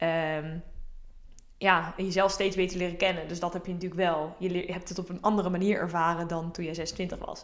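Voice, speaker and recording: At a moderate pace, a woman speaks in a fairly low pitch with monotone, flat intonation, and audible room echo surrounds her voice. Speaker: podcast co-host. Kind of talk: casual chat.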